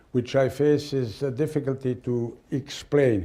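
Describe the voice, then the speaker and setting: Against a quiet background, a man's dark, mellow tone carries ordinary pitch variation. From Switzerland. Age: 70s. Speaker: sports lawyer. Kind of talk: interview. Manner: halting.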